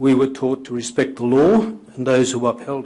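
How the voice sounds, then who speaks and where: At a moderate pace, a man with an Australian accent speaks in a medium pitch. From Australia, Queensland (Maryborough). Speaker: whistleblower, former trade union organiser. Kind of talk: formal testimony before a committee. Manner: formal, prepared with some hesitations.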